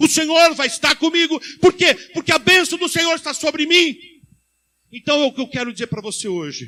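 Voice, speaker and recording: With a bright, sharp tone, a man speaks in a raised, projected voice at an extremely high pitch and fairly quick pace, the sound dry and close with no echo. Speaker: pastor. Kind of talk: sermon. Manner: fast.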